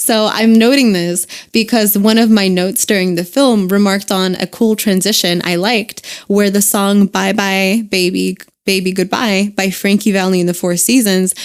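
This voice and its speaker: A woman's plain, everyday voice with an American accent, at medium pitch with fairly even intonation and a moderate pace. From United States. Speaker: podcast co-host. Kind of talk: casual chat.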